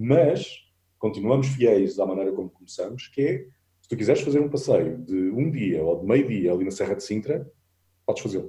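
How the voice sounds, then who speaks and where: A man's dark, mellow, somewhat breathy voice with lively intonation at a moderate pace. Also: medium pitch for a man, big swings in loudness. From Portugal, Alentejo (Vendas Novas). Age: 40s. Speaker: travel photographer and adventure tour operator. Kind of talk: casual interview chat.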